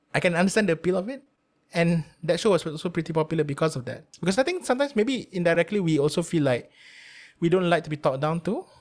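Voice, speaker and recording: Speaking at a very fast pace, a man with a Malaysian accent uses a high pitch and lively intonation in a very clean recording with a silent background. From Malaysia (Melaka). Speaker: radio producer. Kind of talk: casual interview.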